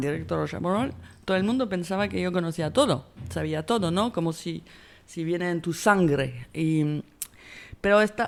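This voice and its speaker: A woman speaks with a French accent in a fairly low voice. Her pace is fairly slow. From France. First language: French (speaking Spanish). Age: 50s. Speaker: film director. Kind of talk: interview. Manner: halting.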